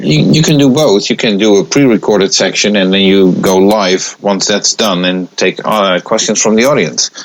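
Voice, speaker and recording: A man with a non-native accent and a fairly low pitch, moderate pace, ordinary pitch variation, very even loudness and hardly any pauses, over noticeable background noise. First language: not English. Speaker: pinball magazine editor. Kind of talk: casual chat. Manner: halting.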